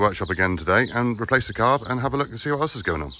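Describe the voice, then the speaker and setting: The voice runs at a very fast pace with ordinary pitch variation, in a dry sound with no echo and light background noise. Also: man. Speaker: workshop vlogger. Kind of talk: casual vlog chat. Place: farm machine. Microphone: phone near.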